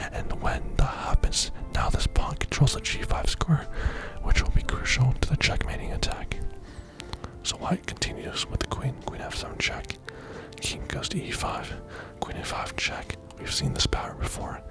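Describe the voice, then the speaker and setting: Whispering in a calm tone at a moderate pace, a man leaves long, frequent pauses while music plays in the background. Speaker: chess grandmaster. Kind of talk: ASMR chess lesson. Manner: relaxing, calm.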